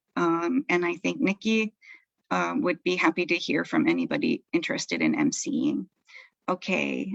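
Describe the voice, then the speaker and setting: A woman with an American accent, medium-pitched with vocal fry, very wide pitch swings, very even loudness and a moderate pace, in a dry, close recording with no echo. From US East Coast. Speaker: event emcee. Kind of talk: casual announcements.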